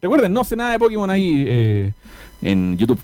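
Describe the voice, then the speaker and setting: A man with a Chilean accent and a dark, mellow tone speaks at a fairly quick pace, his pitch swinging very widely. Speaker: podcast host. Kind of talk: casual chat.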